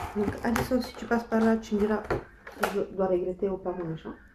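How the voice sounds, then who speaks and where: A soft-spoken woman's fairly high voice, fairly even in intonation, at a fairly slow pace. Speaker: beauty vlogger. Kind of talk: casual chat. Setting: home kitchen. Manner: halting.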